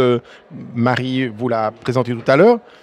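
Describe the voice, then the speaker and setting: A man with a Swiss accent speaks at a moderate pace and medium pitch, the sound dry and close with no echo. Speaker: math teacher, association president. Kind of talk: podcast interview. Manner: hesitant, many fillers and restarts.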